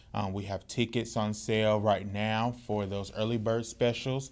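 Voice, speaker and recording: The speaker talks in a Mississippi accent with a monotone, flat intonation. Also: man. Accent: US Southern, Mississippi. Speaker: podcast co-host and community organizer. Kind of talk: casual chat. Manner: frequent um fillers.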